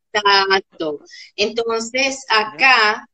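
A woman is talking. Her pitch is medium. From Caracas, Venezuela. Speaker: psychopedagogue and workshop facilitator. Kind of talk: interview conversation.

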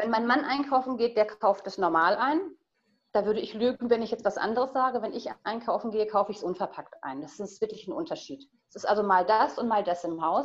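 With an ordinary speaking voice and a fairly high pitch, a woman talks with lively intonation and big swings in loudness. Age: 40s. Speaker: guest on sustainable family living. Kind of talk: casual interview.

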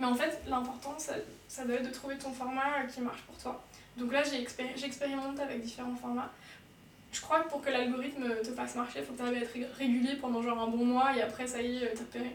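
Monotone, flat intonation comes at a fairly quick pace amid noticeable background noise and audible room echo. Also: woman, high pitch for a woman. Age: 20s. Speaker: tattoo artist and ceramicist. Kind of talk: casual chat. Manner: fast.

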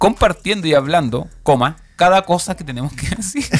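With a Chilean accent, a man speaks at a moderate pace, his pitch swinging very widely. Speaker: podcast host. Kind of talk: casual chat. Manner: animated.

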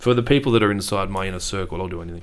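A man talks with an Australian accent. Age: 30s. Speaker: business owner. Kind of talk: interview. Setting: studio.

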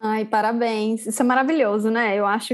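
A woman's fairly high, fairly evenly intoned voice, a normal speaking voice, against a quiet background. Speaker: podcast host. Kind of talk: interview conversation.

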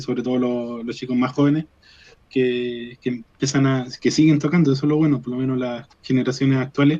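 His words come at a fairly quick pace. The man's voice is dark and mellow in tone. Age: 30s. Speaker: rock guitarist and chemistry teacher. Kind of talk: radio interview. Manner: halting, many repetitions.

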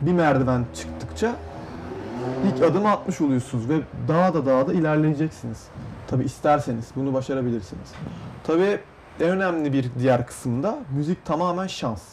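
A man talks with a fairly high pitch. Noticeable background noise runs behind him. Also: moderate pace. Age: young. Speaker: young music producer. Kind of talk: interview. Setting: studio.

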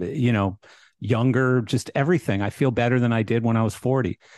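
A man with a Canadian accent has an unremarkable speaking voice, a medium pitch and ordinary pitch variation, recorded with a dry, close sound with no echo. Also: quiet background. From Canada. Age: 50s. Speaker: podcast host. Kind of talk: casual chat.

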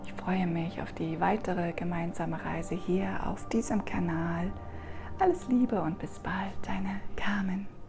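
Against noticeable background noise, a woman speaks at a fairly slow pace in a soothing, warm tone. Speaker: meditation guide. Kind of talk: guided meditation. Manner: slow, soft, soothing, warm and gentle.

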